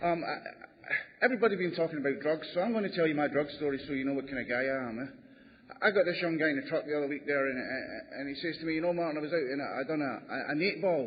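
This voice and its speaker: Noticeable background noise sits under a man talking at a very fast pace with hardly any pauses. His fairly high pitch shows ordinary pitch variation. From Canada. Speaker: recovering alcoholic speaker. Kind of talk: testimony.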